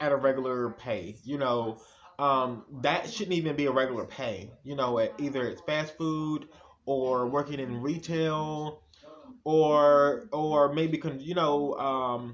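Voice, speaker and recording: A very slow-paced man with a fairly high pitch and ordinary pitch variation. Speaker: YouTuber. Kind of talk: casual vlog monologue. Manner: halting, stuttering.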